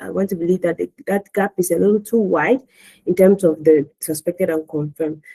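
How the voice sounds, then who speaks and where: A woman speaks at a fairly low pitch with fairly even intonation. Her tone is dark and mellow, and the sound is dry and close with no echo. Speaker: public health expert giving commentary. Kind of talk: webinar expert commentary. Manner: halting, many repetitions.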